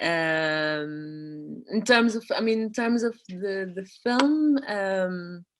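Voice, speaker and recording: A woman's very slow, lively-intoned speech with hardly any pauses. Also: medium pitch for a woman. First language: not English. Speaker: artist. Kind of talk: casual conversation. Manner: halting, many repetitions.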